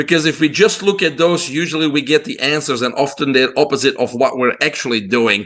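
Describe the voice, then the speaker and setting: Here a man with a Belgian accent talks at a fairly quick pace. His pitch is fairly high, with ordinary pitch variation. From Belgium. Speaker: holistic health doctor. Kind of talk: interview.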